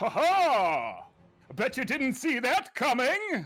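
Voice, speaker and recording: Very slow, high-pitched speech in a put-on character voice. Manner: gloating, boastful.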